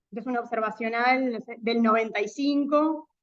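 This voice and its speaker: Her intonation fairly even, a woman talks at a fairly high pitch. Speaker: medical lecturer. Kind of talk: lecture. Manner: fast.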